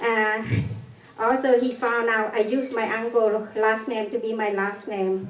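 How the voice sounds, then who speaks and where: A woman with a non-native accent speaks in a fairly high pitch and monotone, flat intonation, with audible room echo and noticeable background noise. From Cambodia. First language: Khmer. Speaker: genocide survivor. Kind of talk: public talk. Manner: halting.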